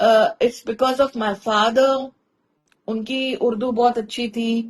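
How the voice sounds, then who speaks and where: A woman's fairly high voice, flat and monotone in its intonation. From India. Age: 50s. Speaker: content creator and storyteller. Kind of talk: interview conversation. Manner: articulate, clear Hindi pronunciation.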